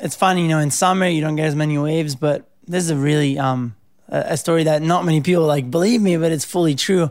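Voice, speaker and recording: Very fast, with fairly even intonation and very even loudness, a man speaks at a fairly high pitch. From Italy (Rome). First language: Italian. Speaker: pro surfer. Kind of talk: interview. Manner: casual, many filler words.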